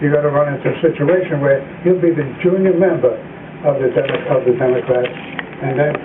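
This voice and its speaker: With an American accent, a man talks at a moderate pace, his pitch fairly high with ordinary variation. Audible room echo and noticeable background noise are present. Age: 80s+. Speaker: politician. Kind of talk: political debate. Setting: televised debate. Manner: halting.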